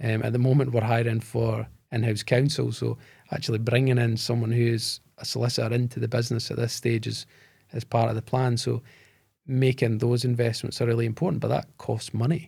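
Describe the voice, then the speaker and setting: A man with a Scottish accent, medium in pitch, dark and mellow in tone, somewhat breathy, monotone and flat, at a fairly quick pace. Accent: Scottish, neither Glaswegian nor Edinburgh. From Scotland, Bo'ness (between Edinburgh and Glasgow). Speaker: tech company founder and CEO. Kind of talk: podcast interview.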